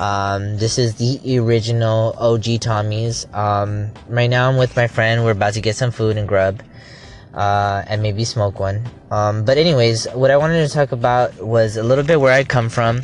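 Speaking at a moderate pace with an American accent, the voice has fairly even intonation. Music plays in the background. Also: man, medium pitch for a man. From Los Angeles, California. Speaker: poet and online content creator. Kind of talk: casual vlog. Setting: at a restaurant. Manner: hesitant, many fillers.

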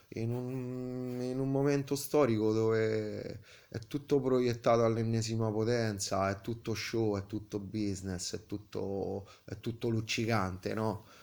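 This man's delivery is fairly slow. He speaks in a medium pitch. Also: fairly even intonation. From Italy, Tivoli (Lazio). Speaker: sculptor and painter. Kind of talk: interview. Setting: artist's studio. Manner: halting, many hesitations.

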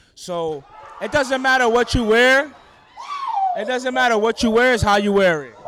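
With a New York accent, a man talks at a moderate pace in an extremely high voice, using ordinary pitch variation and big swings in loudness. He leaves long, frequent pauses, and crowd noise is heard in the background. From Brooklyn, New York City. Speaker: event guest, friend of host. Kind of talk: casual interview chat. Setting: social event, handheld mic.

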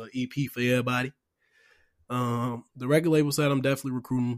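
A man's medium-pitched, monotone, flat delivery at a very fast pace, dry and close with no echo, on a very clean recording with a silent background. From Chicago. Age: young. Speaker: podcast host, clothing brand founder. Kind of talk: casual chat.

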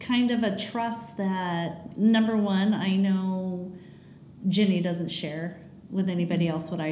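A woman talks very slowly at a medium pitch, with audible room echo and noticeable background noise. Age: 50s. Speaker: podcast host, mother of teens. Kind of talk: casual chat.

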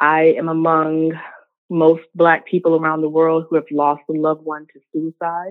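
With an American accent, a woman talks at a moderate pace in a very deep, low pitch, her intonation monotone and flat. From US South, Richmond, Virginia. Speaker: professor and health equity consultant. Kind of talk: interview.

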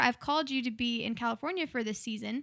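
A woman's raised, projected voice with an American accent, bright and sharp in tone, at a fairly quick pace with ordinary pitch variation, in a dry, close sound with no echo. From Oklahoma City, US. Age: 20s. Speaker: musician and missionary. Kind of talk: casual interview. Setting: studio.

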